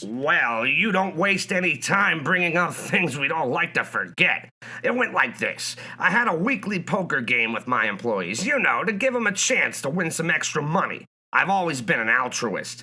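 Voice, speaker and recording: A man's put-on character voice, high in pitch, with very wide pitch swings. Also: moderate pace. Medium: audio drama. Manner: brash, salesy.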